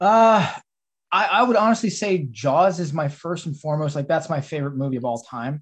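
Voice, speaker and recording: A man's ordinary speaking voice, fairly high-pitched, with lively intonation and a fairly quick pace against a quiet background. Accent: American. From Texas. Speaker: film director and writer. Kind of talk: casual interview. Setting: video call.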